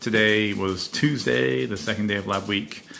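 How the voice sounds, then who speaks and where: A man speaks in a fairly low pitch with vocal fry. His tone is bright and sharp. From Scotland. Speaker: laboratory worker, podcaster. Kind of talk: casual monologue. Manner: hesitant, filler-heavy.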